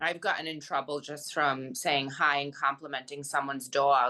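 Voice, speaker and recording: A bright, sharp tone carries the speech along at a moderate pace. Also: woman. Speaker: podcast co-host. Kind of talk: casual chat.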